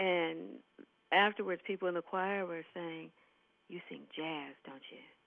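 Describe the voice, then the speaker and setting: With an American accent, a woman speaks at a moderate pace in a fairly low pitch with fairly even intonation, big swings in loudness and long, frequent pauses. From Ohio, Youngstown. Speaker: jazz singer. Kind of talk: radio interview. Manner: soft-spoken.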